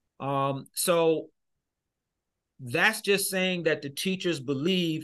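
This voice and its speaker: A man with an American accent speaks at a very slow pace. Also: quiet background. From Michigan, US. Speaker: education consultant and speaker. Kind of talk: interview conversation. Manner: animated.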